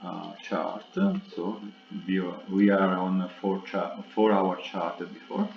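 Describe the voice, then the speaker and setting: A man speaks with an Italian accent at a very slow pace, his intonation monotone and flat. Noticeable background noise runs underneath. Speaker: trading analyst. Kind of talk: tutorial. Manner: halting.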